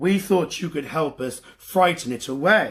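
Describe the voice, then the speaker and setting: A man's raspy, fairly high put-on character voice at a moderate pace. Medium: read story. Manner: hushed, worried.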